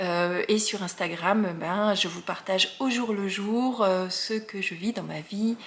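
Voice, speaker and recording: Speaking at a very slow pace, a woman keeps a medium pitch. Her pitch variation is ordinary. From Alsace, France. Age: 40s. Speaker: knitting podcaster. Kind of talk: casual podcast monologue. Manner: hesitant, many fillers.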